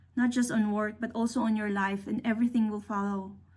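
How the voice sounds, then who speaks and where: Her voice somewhat breathy, a woman speaks at a fairly high pitch with a dark, mellow tone. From Philippines. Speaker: engineer. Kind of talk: career talk.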